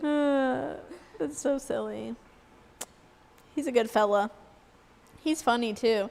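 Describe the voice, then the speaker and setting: Her pitch fairly high, a woman speaks at a moderate pace with ordinary pitch variation. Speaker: aquarium podcast co-host. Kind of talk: casual chat. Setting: live stream.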